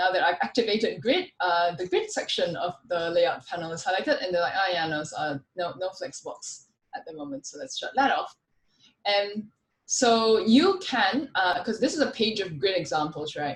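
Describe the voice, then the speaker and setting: At a moderate pace, a woman talks with lively intonation in a somewhat breathy voice of medium pitch. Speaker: conference speaker, frontend developer. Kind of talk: technical talk with live demo.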